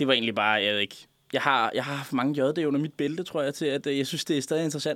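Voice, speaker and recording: A man at a fairly high pitch, ordinary pitch variation and a very fast pace. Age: 20s. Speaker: radio show guest, former contributor. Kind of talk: casual chat. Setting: studio.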